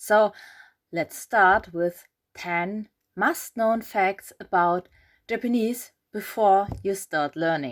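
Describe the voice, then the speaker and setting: A woman with a German accent speaks at a medium pitch and a very slow pace, with ordinary pitch variation. Her long, frequent pauses come through in a dry, close sound with no echo. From Germany. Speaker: reaction video creator. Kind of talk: reaction commentary.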